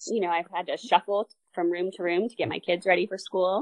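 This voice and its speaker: Here is a woman with a normal speaking voice at a medium pitch. She keeps a moderate pace and ordinary pitch variation. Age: 40s. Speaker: amateur triathlete. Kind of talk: interview.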